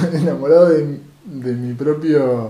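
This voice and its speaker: The voice shows ordinary pitch variation, and audible room echo surrounds it. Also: man. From Argentina, Rosario. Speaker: podcast co-host. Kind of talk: casual chat.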